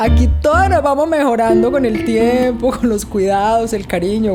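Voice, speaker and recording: Against noticeable background noise, a woman talks with a Colombian accent. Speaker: actress and TV presenter. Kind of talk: personal interview answer.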